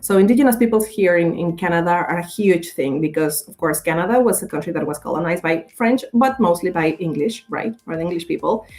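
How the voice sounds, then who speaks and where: A woman's very fast speech with hardly any pauses and ordinary pitch variation. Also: fairly low pitch for a woman. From Mexico. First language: Spanish. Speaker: communications professional and radio creator. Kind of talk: podcast interview. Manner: animated, halting with fillers.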